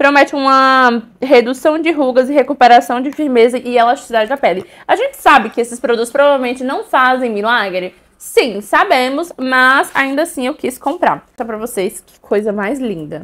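A high-pitched woman's voice at a moderate pace, ordinary pitch variation, big swings in loudness and hardly any pauses. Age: 20s. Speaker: beauty and perfume youtuber; perfume youtuber. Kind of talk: product haul video. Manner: animated. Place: home room. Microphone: lapel.

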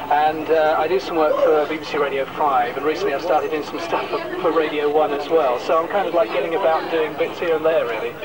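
Loud background noise sits behind a man talking. He goes at a very fast pace with hardly any pauses. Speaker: former hospital radio volunteer. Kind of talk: interview answer. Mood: cheerful, joking. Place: street. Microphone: handheld.

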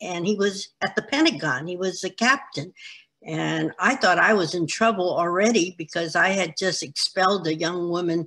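A woman talks at a moderate pace, her pitch rising and falling in an ordinary way. Her tone is bright and sharp against a quiet background. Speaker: interviewee. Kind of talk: interview answer. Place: home room. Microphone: video call.

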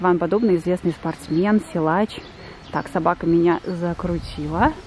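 A woman's fairly low voice at a moderate pace, with ordinary pitch variation, a dry sound with no echo, and light background noise. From Yeysk, southern Russia. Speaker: Russian language teacher, vlogger. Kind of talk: casual vlog talk to camera. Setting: outdoors. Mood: relaxed, a bit hot. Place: garden. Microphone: phone near.

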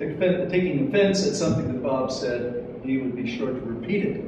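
Amid noticeable background noise and strong room echo, a man with a high voice speaks at a moderate pace with lively intonation. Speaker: memorial event organizer, community board member. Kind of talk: memorial speech. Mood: solemn, measured. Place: hall. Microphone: podium.

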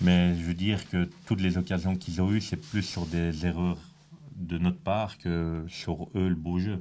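Very deep and low, a man's dark, mellow voice moves at a fairly slow pace in a monotone, flat intonation. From Belgium. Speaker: football player. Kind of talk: post-match interview. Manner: hesitant, many fillers. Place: meeting room. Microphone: handheld.

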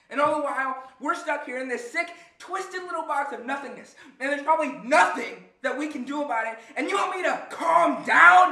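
A man in a put-on character voice, extremely high-pitched with a bright, sharp tone and vocal fry, ordinary pitch variation, a moderate pace, few pauses, and strong room echo

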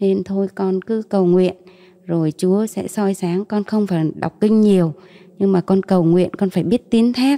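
A fairly slow delivery with fairly even intonation, over a quiet background. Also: woman. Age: 40s. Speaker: mother giving faith testimony; interview guest. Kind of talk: testimony. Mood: calm, earnest faith testimony. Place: studio. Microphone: handheld.

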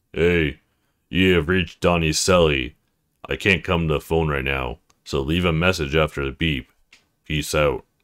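In a put-on character voice, a man speaks at a very deep, low pitch with long, frequent pauses, captured on a very clean recording with a silent background. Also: moderate pace. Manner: playful, casual voicemail greeting.

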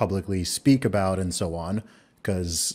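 A man speaks at a fairly slow pace with fairly even intonation and a slightly mellow tone on a very clean recording with a silent background.

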